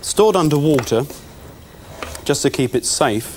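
A man with a British accent talks at a fairly quick pace with ordinary pitch variation over light background noise. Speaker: chemistry presenter. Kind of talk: educational demonstration. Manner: formal, precise. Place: studio. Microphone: lapel.

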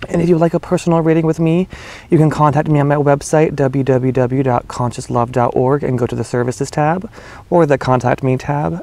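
At a moderate pace, a man with a dark, mellow tone keeps his intonation fairly even in a dry sound with no echo. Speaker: spiritual reader. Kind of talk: casual vlog chat. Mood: warm, smiling. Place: garden. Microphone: phone near.

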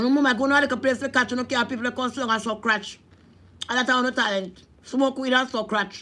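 Bright and sharp in tone, a woman with a Jamaican accent speaks at a high pitch and fairly quick pace, her intonation fairly even. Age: 40s. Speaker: vlogger. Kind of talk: casual vlog monologue; preaching. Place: home room. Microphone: phone near.

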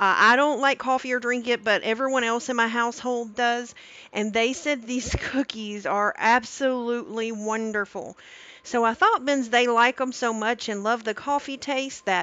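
A woman's high-pitched voice at a moderate pace, with fairly even intonation and a dry sound with no echo. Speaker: cooking streamer. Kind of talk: live stream cooking tutorial. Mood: warm, cheerful. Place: kitchen.

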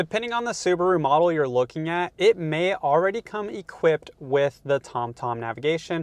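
Over a quiet background, a man talks at a fairly quick pace with hardly any pauses, the sound dry with no echo. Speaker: car channel host. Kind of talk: tutorial. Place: car. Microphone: lapel.

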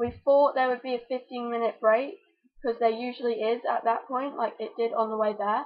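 The woman talks at a moderate pace, and her pitch varies in an ordinary way. Behind her it is quiet. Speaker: vlogger. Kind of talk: casual vlog chat. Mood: storytelling, animated. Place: home room. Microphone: webcam.

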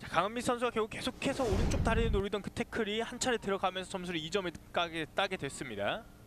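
With noticeable background noise, a man at a high pitch speaks very fast with ordinary pitch variation and hardly any pauses. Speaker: sports commentator. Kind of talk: live commentary. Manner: fast, excitable play-by-play delivery, calling each move as it happens; formal broadcast diction, with pauses to defer to the analyst.

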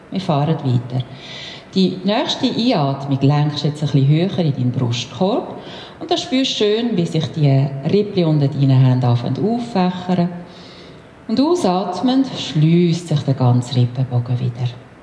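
Over light background noise and audible room echo, a woman with a very deep, low pitch speaks at a moderate pace. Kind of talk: guided exercise instruction. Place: gym.

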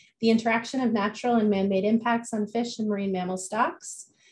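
A somewhat breathy woman at a fairly quick pace, with fairly even intonation. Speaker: event host. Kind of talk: speaker introduction. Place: home room. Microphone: video call.

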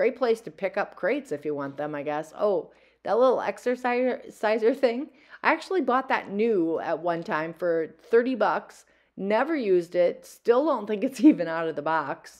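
In a quiet background, a woman speaks at a moderate pace. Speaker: thrift reseller vlogger. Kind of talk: casual vlog chat. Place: shop. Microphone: phone near.

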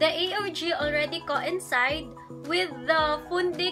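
A raised, projected voice at a very slow pace with ordinary pitch variation, over clear music in the background. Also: woman. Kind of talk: lecture. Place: home room. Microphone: phone near.

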